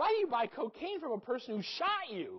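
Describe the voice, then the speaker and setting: Someone puts on a high-pitched character voice, talking at a fairly quick pace with very wide pitch swings. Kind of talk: professional, bedside.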